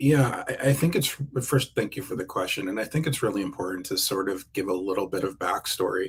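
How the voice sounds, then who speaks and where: A man with an American accent talks at a fairly quick pace with lively intonation. His medium-pitched voice is somewhat breathy. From New Jersey, US East Coast. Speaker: keynote speaker. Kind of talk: interview. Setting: live video stream. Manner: halting, with repeated words and fillers.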